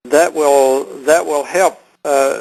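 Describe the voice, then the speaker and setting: A man with a Texan accent and a fairly high pitch for a man. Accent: Texan Southern US. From Texas. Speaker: health product seller. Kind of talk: conference call Q&A. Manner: halting, many fillers.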